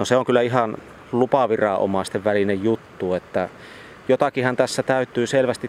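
Recorded dry and close with no echo, a man speaks with fairly even intonation amid noticeable background noise. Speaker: regional environmental expert. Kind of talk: interview. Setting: outdoors by flowing water.

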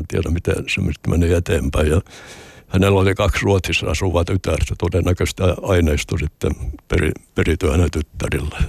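A man with a very deep, low pitch speaks at a moderate pace, somewhat breathy, in a dry, close sound with no echo. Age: 80s+. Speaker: retired sea captain and hospice volunteer. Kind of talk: interview.

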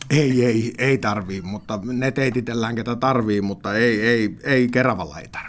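Speaking at a fairly slow pace with hardly any pauses, a man of medium pitch uses ordinary pitch variation. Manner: halting.

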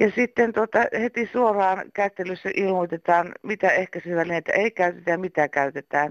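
A woman with a normal speaking voice talks at a moderate pace and medium pitch, with ordinary pitch variation and very even loudness. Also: dry, close sound with no echo, quiet background. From eastern Finland. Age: 60s. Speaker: caller. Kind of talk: voicemail message.

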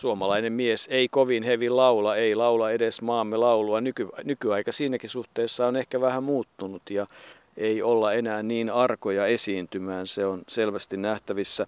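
A man of medium pitch talks at a moderate pace in an ordinary speaking voice. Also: fairly even intonation. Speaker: sports radio presenter. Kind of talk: casual radio chat, documentary presenter. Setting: outdoors at a cemetery.

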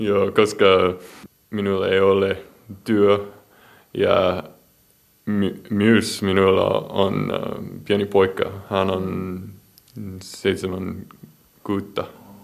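In an English accent, a man speaks very slowly in a flat monotone, pausing long and often. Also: fairly low pitch for a man. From US Midwest, Iowa. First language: English (speaking Finnish). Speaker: marine biologist. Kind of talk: interview. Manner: halting in Finnish.

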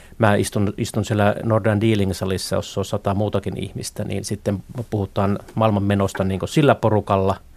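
At a moderate pace, a man speaks in a monotone, flat manner at a fairly low pitch. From Finland, Northern Ostrobothnia (Haapavesi). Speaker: economist. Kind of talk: interview. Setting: studio. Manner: halting, many filler words.

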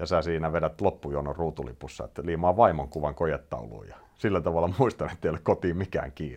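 The speech is very fast, with hardly any pauses and some vocal fry. Loudness swings widely while pitch variation stays ordinary. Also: man, very deep, low pitch for a man. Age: 40s. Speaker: podcast host, rally journalist. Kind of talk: casual interview.

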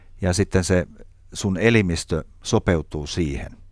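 Pitched very deep and low, a man's voice shows ordinary variation in pitch. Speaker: chef. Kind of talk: casual chat.

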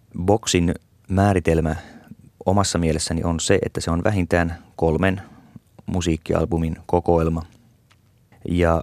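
A man talks at a fairly slow pace, his pitch very deep and low. His intonation is fairly even, and the sound is dry and close with no echo. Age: 50s. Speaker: radio essayist. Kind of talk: scripted monologue.

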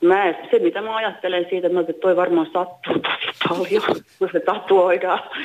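A woman with a medium pitch talks fairly slowly in a monotone, flat intonation. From Finland, Uusimaa. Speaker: caller. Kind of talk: phone-in discussion.

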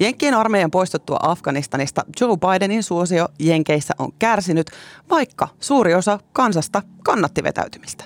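With an unremarkable speaking voice, a woman at medium pitch talks at a moderate pace with lively intonation and very even loudness, in a dry, close sound with no echo. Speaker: podcast host. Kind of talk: casual chat; scripted narration.

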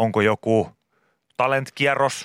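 The sound is dry and close, with no echo. A man speaks at a very slow pace. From Finland, Pori. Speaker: radio host. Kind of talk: casual chat.

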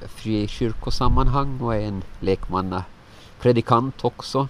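At a very slow pace, a man speaks with ordinary pitch variation over noticeable background noise. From Åland. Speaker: lay preacher. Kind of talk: interview.

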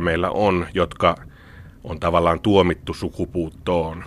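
Very slowly and with fairly even intonation, a man talks. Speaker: biology professor. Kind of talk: interview. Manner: hesitant, repeats words.

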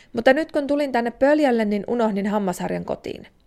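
Recorded very cleanly against a silent background, a woman speaks at a moderate pace with a high pitch and ordinary pitch variation. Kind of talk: literary letter reading, a child's letter read aloud. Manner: young, plaintive, wistful, sincere, a little tearful and pleading.

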